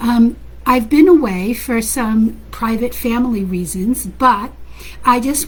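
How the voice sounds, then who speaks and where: A woman speaks over noticeable background noise. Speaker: parenting coach. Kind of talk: casual talk to online audience. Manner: loud; animated.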